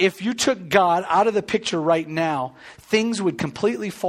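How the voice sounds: The pitch moves in an ordinary way in this natural reading voice.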